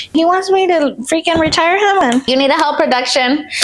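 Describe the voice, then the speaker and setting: A woman speaks with a Spanish accent and lively intonation. Noticeable background noise is present. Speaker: lifestyle vlogger. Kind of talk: casual vlog talk. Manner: relaxed, chatty.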